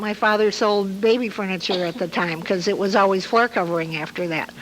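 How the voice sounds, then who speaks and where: With an American accent and ordinary pitch variation, the speech comes through noticeable background noise. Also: woman. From Hammond, Indiana, US Midwest. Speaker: local elder sharing memories. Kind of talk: oral history storytelling. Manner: halting with frequent uh fillers.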